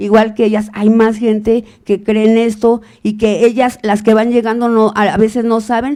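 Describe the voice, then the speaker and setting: At a moderate pace, a woman speaks in a fairly high yet dark, mellow voice. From Mexico, Guanajuato. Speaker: mother searching for missing son. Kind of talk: testimony.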